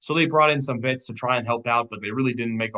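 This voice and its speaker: Here a man speaks with a bright, sharp tone. His intonation stays monotone and flat. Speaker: sports commentator. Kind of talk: casual sports analysis monologue. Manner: fast.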